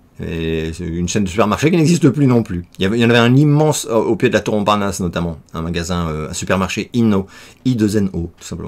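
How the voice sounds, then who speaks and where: Very fast delivery with lively intonation. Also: man, fairly low pitch for a man. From France, Paris. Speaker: YouTuber answering viewer questions. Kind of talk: casual Q&A vlog. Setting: home office. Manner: hesitant with many fillers.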